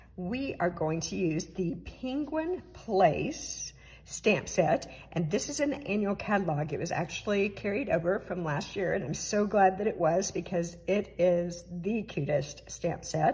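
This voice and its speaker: Somewhat breathy and medium in pitch, a woman talks with lively intonation and hardly any pauses. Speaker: papercraft demonstrator. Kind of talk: tutorial. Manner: casual, with fillers.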